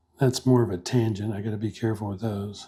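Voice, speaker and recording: Whispering and soft-spoken, a man talks at a fairly quick pace with a somewhat breathy sound. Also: very clean recording, silent background. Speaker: pen and ink artist. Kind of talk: drawing tutorial. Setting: home art studio. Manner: soft-spoken, half whispering.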